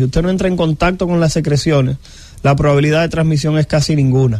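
Speaking at a fairly quick pace, a man with a fairly high pitch and an unremarkable speaking voice keeps his intonation fairly even. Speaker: infectious disease doctor. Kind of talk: radio health interview.

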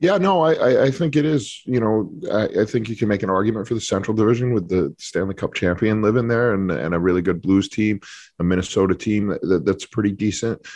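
Against a quiet background, a man with an American accent talks very fast at a fairly low pitch. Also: ordinary pitch variation. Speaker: hockey journalist. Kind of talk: radio interview.

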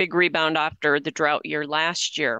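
Over a quiet background, a woman speaks at a fairly quick pace in a bright, sharp tone with fairly even intonation, the sound dry and close with no echo. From South Dakota. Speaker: radio host and news reader. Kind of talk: news reading and chat.

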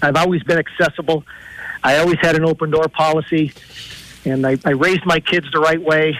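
A man with an American accent speaks at a fairly quick pace yet with long, frequent pauses, his fairly high pitch held in monotone, flat intonation and very even loudness, in a dry, close sound with no echo but noticeable background noise. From Pennsylvania, Lackawanna County. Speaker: political candidate, former police officer. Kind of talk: radio interview.

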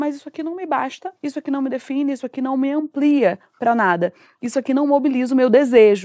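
A woman's high-pitched voice with a dark, mellow tone and ordinary pitch variation, very fast in pace, in a dry, close sound with no echo. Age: 30s. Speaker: psychoanalyst and communicator. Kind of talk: casual chat. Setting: home sofa, video.

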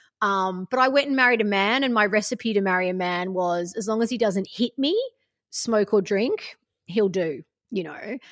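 A woman with an Australian accent at a moderate pace, ordinary pitch variation, against a quiet background. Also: medium pitch for a woman. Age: 40s. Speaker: life coach. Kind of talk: casual interview chat.

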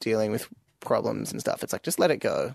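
A man is heard in a dry, close sound with no echo against a quiet background. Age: 20s. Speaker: podcast participant. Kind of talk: casual chat.

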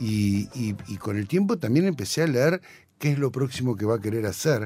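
A man with a dark, mellow tone speaks at a medium pitch and moderate pace, his intonation lively. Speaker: sound engineer and music producer. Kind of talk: casual interview chat.

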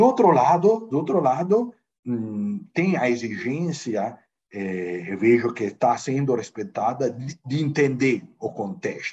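Speaking in an Italian accent at a very slow pace, the voice moves through very wide pitch swings. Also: man, medium pitch for a man. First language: Italian (speaking Portuguese). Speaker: football club finance director. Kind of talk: interview. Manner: halting, many fillers.

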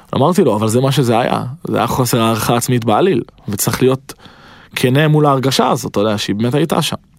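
Speaking at a very fast pace, a man holds a medium pitch with ordinary pitch variation. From Israel, Petah Tikva. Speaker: rapper. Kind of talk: casual interview, storytelling.

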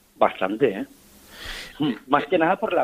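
A man with a fairly high pitch speaks at a fairly quick pace with very wide pitch swings and vocal fry, in a dry, close sound with no echo. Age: 50s. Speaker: football fan and collector. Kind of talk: radio interview.

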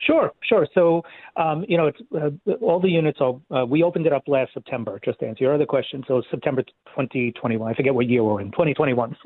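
A man with a New York accent and a fairly high pitch talks at a fairly quick pace with lively intonation. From Queens, New York City. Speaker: nonprofit leader. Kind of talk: interview.

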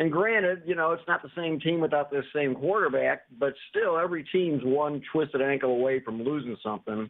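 A man with an American accent speaks at a fairly quick pace in a plain, everyday voice, his fairly high pitch moving with ordinary variation and hardly any pauses. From Ohio. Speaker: radio caller. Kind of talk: call-in sports talk.

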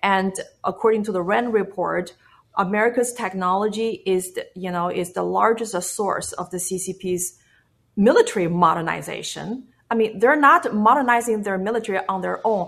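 A woman at a medium pitch and moderate pace, in a Chinese accent, with ordinary pitch variation. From China. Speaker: activist. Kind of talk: interview. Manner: halting.

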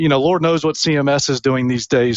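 With an American accent, a man uses a normal speaking voice. It sits fairly high in pitch. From US South, Tennessee (Memphis). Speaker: executive recruiter. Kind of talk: interview. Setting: podcast interview.

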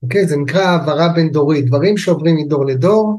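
This man's voice has a dark, mellow tone, somewhat breathy, with ordinary pitch variation. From Israel, kibbutz in the north. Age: 60s. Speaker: family constellation therapist. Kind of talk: interview, explanatory.

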